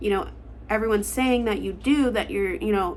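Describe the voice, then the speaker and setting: Audible room echo surrounds a woman's voice. Noticeable background noise runs underneath. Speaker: online storyteller reacting to posts. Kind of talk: casual commentary. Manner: halting, stuttering; conversational with fillers.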